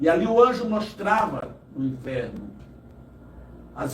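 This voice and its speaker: A man's voice with very wide pitch swings, in audible room echo. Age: 60s. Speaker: evangelist. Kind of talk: testimony. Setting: live podcast studio.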